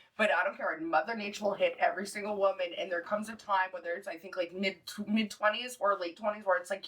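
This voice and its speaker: Over noticeable background noise, a woman talks at a very fast pace in a medium pitch with ordinary pitch variation. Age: 30s. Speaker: podcast panelist. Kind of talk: casual chat.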